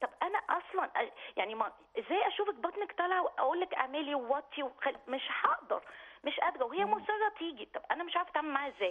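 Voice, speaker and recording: A woman's extremely high pitch with very wide pitch swings, an Egyptian accent and a fairly quick pace over noticeable background noise. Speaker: caller. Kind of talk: phone-in question.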